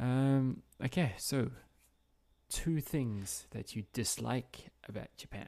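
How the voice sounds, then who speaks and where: With an Australian accent, a man speaks at a very slow pace in a dark, mellow tone with ordinary pitch variation. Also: medium pitch for a man. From Australia, Brisbane. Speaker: podcast host. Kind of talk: casual chat.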